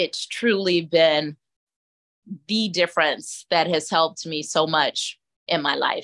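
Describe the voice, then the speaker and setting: A woman with a Southern US accent speaks at a very slow pace and fairly low pitch, with long, frequent pauses. The sound is dry and close with no echo. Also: fairly even intonation. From US South, Atlanta, Georgia. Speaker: caregiver and life coach. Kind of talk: interview conversation.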